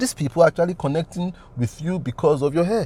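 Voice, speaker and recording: This man talks with a Nigerian accent. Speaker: business consultant and coach. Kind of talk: motivational talk.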